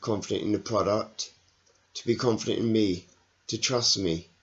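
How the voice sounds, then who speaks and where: Quietly, a man of medium pitch mumbles. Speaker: network marketing salesperson vlogger. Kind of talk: personal video diary. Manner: halting, hesitant with fillers; quiet, mumbling.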